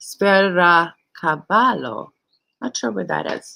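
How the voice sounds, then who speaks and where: In a Hungarian accent, a woman speaks at a medium pitch. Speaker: channel host. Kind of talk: live stream chat. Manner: animated.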